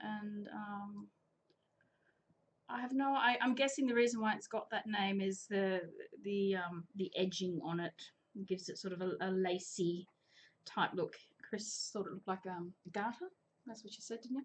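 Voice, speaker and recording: A woman with an Australian accent and a somewhat breathy voice at medium pitch, at a moderate pace with long, frequent pauses, big swings in loudness and ordinary pitch variation. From Australia, New South Wales (Coffs Harbour). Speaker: chain maille crafts teacher. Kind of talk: live tutorial. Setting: live stream. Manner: chatty.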